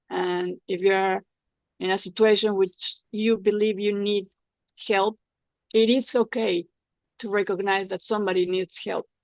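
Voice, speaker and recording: In a dry, close recording with no echo, a woman with a Spanish accent speaks at a medium pitch with fairly even intonation. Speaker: former TV personality, patient giving testimonial. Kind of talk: testimony. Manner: halting, repetitive.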